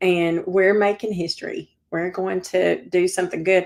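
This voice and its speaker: A woman with a Southern accent, medium-pitched, flat and monotone, at a fairly slow pace. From Georgia, US South. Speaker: civic organizer and real estate broker. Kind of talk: interview.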